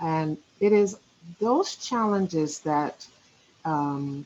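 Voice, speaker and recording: A woman talks at a very slow pace. Her voice is fairly low, with ordinary pitch variation. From Nigeria. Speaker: education organization representative. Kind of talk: conference presentation. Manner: halting.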